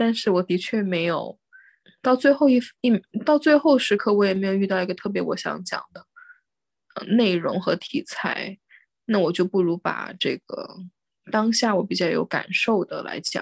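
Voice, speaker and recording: At a moderate pace and with long, frequent pauses, a woman speaks in a medium-pitched voice with ordinary pitch variation, recorded dry and close with no echo. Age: young. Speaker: podcast host. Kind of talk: casual chat.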